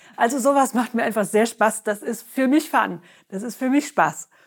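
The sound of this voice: The woman's pitch is fairly high, with ordinary pitch variation, and she keeps a moderate pace.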